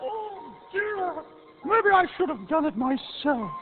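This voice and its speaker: A put-on character voice, high in pitch, moves at a fairly slow pace with very wide pitch swings. Clear music plays in the background. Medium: audio drama. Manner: chirpy, domestic.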